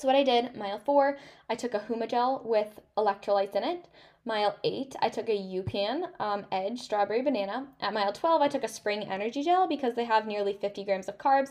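A woman's animated voice, fairly high in pitch, at a fairly quick pace with ordinary pitch variation. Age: 20s. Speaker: podcast host and runner. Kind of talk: casual solo monologue.

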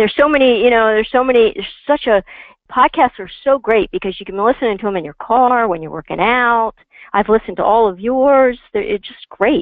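Her pitch fairly high, a woman with a plain, everyday voice talks at a fairly quick pace with lively intonation and big swings in loudness. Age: 50s. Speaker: financial planner. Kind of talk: interview.

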